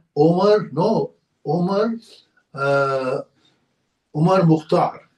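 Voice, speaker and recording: With music in the background, a man speaks at a very slow pace with a high pitch and ordinary pitch variation. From India. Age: 80s+. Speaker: geriatrician. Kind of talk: interview answer.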